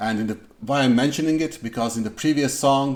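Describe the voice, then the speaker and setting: Speaking with a non-native accent, a man varies his pitch in an ordinary way. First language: not English. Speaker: music reaction youtuber. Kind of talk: casual reaction commentary. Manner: halting, many fillers.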